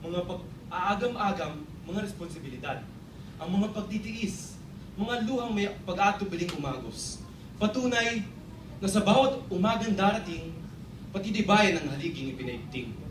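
Over noticeable background noise, a man talks at a moderate pace with a high pitch. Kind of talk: spoken word poetry, performed tribute. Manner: rhythmic, heartfelt, measured delivery.

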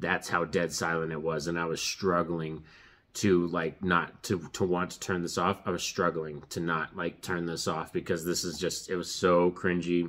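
A man's very deep, low voice moves along at a fairly slow pace. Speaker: movie reviewer. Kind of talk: casual review commentary. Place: home room.

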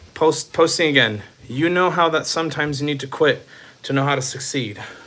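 A man with an American accent talks at a moderate pace in a fairly high voice with ordinary pitch variation. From Texas. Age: 30s. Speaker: streamer. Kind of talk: live stream chat. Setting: on a treadmill. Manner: animated. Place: home room. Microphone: phone near.

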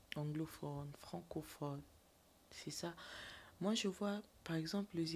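A somewhat breathy voice at a very slow pace, with fairly even intonation and long, frequent pauses. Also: woman. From DR Congo. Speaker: actress and TikToker; actress. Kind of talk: interview, casual chat. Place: studio. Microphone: studio mic.

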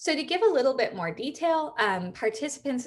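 A woman speaks with very wide pitch swings. The background is quiet. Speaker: computer science researcher. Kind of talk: lecture. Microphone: webcam.

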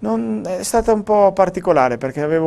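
A man at a fairly quick pace. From Italy. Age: 30s. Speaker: professional cyclist; interviewee. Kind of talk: interview. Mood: calm, reflective. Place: studio. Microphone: lapel.

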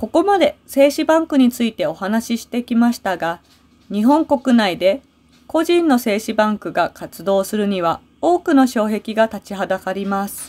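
A woman speaks at a fairly high pitch with very wide pitch swings. The recording is very clean and dry, close with no echo, against a silent background. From Japan. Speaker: Japanese language teacher. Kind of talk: scripted narration for language learners. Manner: clear and slow.

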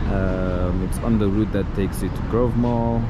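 A fairly slow pace over loud background noise. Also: man. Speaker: travel vlogger. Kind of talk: casual vlog chat. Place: station. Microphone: phone near.

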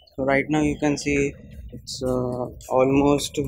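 Speech comes at a very slow pace. The sound is dry with no echo, over light background noise. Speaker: vlogger. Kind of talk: casual vlog narration. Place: hall. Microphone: phone near.

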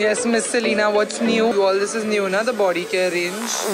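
Noticeable background noise sits behind the recording. A woman speaks at a moderate pace. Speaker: travel vlogger. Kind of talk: casual vlog chat. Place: shop. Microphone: phone near.

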